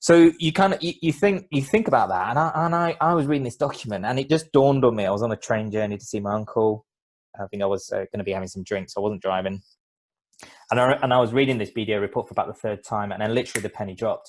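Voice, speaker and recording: A man with a London accent talks at a very fast pace. The recording is very clean, with a silent background. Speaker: business CEO and former lawyer. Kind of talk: podcast interview.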